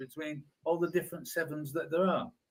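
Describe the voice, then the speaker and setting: Fairly quick speech from a man with an English accent. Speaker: car enthusiast co-host. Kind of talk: casual chat. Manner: halting.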